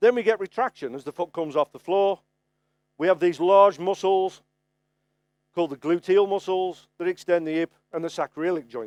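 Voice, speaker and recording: The speaker has a Birmingham accent and talks at a moderate pace with ordinary pitch variation. The sound is dry and close, with no echo. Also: man, high pitch for a man. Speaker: farrier presenting at a trade conference. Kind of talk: lecture. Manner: conversational, frequent okay fillers.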